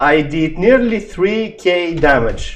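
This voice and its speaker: In a non-native accent, a man speaks very slowly with a high pitch. His intonation is lively, with audible room echo. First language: not English. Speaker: gaming youtuber. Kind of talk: tutorial. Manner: halting.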